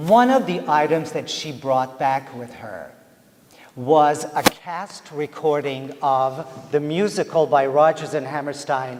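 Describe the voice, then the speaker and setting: A man with a Persian accent and a fairly high pitch speaks at a very slow pace, his loudness swinging widely and his pitch varying in an ordinary way, over noticeable background noise. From Iran. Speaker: theatre professor. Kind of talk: lecture. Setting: stage with audience. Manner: animated.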